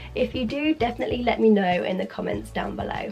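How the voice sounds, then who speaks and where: There is music in the background. A woman speaks at a fairly quick pace. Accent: British. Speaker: fashion vlogger. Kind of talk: scripted talk to camera.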